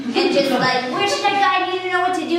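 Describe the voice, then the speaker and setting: Amid noticeable background noise, a woman talks very fast with ordinary pitch variation. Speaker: comedian, story slam storyteller. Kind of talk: live storytelling at a story slam, comedic. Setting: live show recorded in front of an audience.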